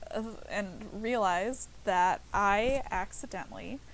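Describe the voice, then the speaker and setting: A soft-spoken woman talks at a very slow pace. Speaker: streamer. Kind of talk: casual chat. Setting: livestream from couch. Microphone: laptop mic, very quiet.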